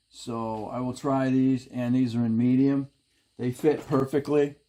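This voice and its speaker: His intonation stays fairly even at a medium pitch. The man's tone is dark and mellow. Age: 60s. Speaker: DIY mechanic YouTuber. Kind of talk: casual tutorial. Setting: home garage. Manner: halting.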